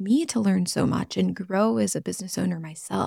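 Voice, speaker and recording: A woman talks at a moderate pace in a dark, mellow tone that is somewhat breathy, with ordinary pitch variation, on a very clean recording with a silent background. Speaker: podcast host and entrepreneur. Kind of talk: solo podcast monologue. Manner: calm, confident.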